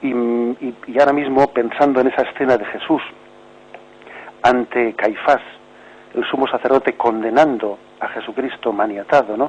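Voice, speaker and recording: Over noticeable background noise, a man with a medium-pitched voice talks at a moderate pace with fairly even intonation, leaving long, frequent pauses. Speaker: bishop, catechism radio teacher. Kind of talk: radio catechesis talk answering caller.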